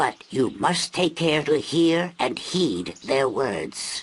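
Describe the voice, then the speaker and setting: Very slow pace in a put-on character voice. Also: man, fairly high pitch for a man. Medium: video game. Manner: slow, solemn, prophetic.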